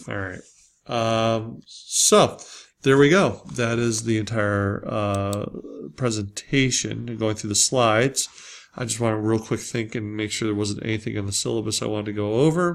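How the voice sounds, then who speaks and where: A man with an American accent talks at a moderate pace in a medium pitch with ordinary pitch variation. The recording is very clean, the background silent. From Springfield (US). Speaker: college instructor. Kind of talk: lecture. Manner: hesitant, many fillers.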